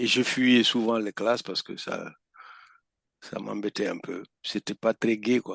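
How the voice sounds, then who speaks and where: Long, frequent pauses break up a man's very slow, monotone, flat speech. The sound is dry and close, with no echo. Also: medium pitch for a man. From northeastern Senegal. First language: Pulaar (Fula) (speaking French). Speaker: veteran conference interpreter. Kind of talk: podcast interview.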